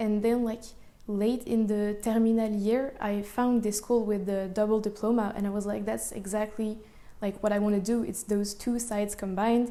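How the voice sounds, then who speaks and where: With a French accent, a woman speaks at a moderate pace and fairly high pitch in a monotone, flat intonation, with audible room echo. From France, Paris. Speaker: architecture and engineering student. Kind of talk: interview. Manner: casual, many fillers.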